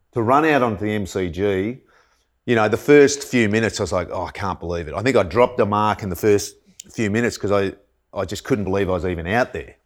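The speaker talks at a very fast pace with an Australian accent and ordinary pitch variation. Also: man, fairly low pitch for a man. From country Victoria, Australia. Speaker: former footballer and fitness coach. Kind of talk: casual chat.

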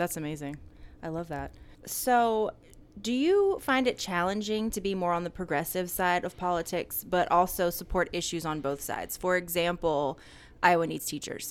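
A woman with an unremarkable speaking voice, fairly low pitch, ordinary pitch variation and a moderate pace, with an American accent. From Atlanta, US South. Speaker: podcast host. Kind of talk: casual interview chat; scripted outro. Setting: on location in a store.

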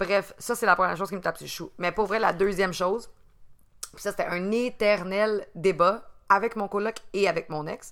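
A woman speaks at a medium pitch and a moderate pace, with fairly even intonation. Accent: Quebec. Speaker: podcast co-host. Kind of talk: casual chat.

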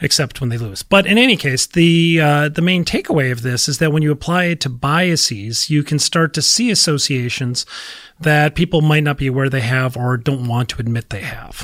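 Speaking at a moderate pace, the man has a normal speaking voice. His pitch is fairly high and varies in an ordinary way. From Minnesota. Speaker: marketing professor. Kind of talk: interview.

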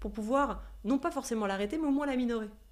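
A woman talks at a high pitch with lively intonation. Audible room echo surrounds her voice. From Switzerland. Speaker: yoga teacher. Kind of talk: interview. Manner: halting.

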